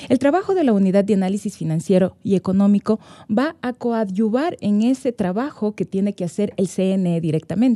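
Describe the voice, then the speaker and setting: A woman speaks at a moderate pace with a dark, mellow tone, ordinary pitch variation and hardly any pauses against a quiet background. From Ecuador. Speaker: guest. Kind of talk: interview. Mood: calm, explanatory. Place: studio. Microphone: studio mic.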